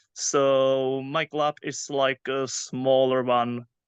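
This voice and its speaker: Quiet background, dry, close sound, no echo. A man with a Czech accent speaks at a fairly high pitch. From Czech Republic, near Prague. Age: 30s. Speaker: youth soccer coach. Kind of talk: interview. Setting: podcast. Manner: halting, many fillers.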